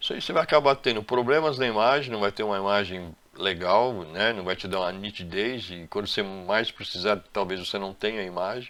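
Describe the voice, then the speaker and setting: A man's fairly low voice at a fairly quick pace, with ordinary pitch variation and hardly any pauses. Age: 60s. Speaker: electrician and CCTV installer. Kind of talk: tutorial. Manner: halting.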